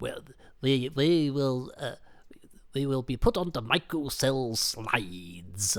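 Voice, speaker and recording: Fairly slow, medium-pitched put-on character voice from a man. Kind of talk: formal, stilted.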